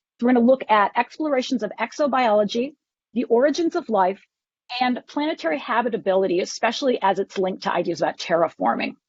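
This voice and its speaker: A very fast woman's voice at a fairly high pitch. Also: lively intonation. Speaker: professor. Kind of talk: lecture. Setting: conference talk to audience.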